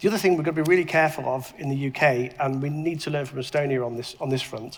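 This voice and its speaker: Very fast speech comes from a man whose fairly high voice shows ordinary pitch variation, with noticeable noise in the background. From UK. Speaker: tech entrepreneur and investor. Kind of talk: panel discussion. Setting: stage with audience. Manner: halting, many repetitions.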